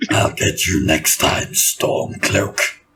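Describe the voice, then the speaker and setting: A man puts on a character voice pitched fairly low. It comes out raspy and gravelly. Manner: menacing.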